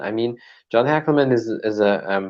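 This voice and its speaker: With a German accent, a man speaks using ordinary pitch variation. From Germany. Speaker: martial artist and podcaster. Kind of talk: casual chat.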